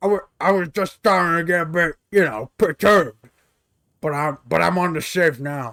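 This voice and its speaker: Using a put-on character voice, a man speaks with a high pitch. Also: moderate pace. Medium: game stream. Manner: rambling, stammering.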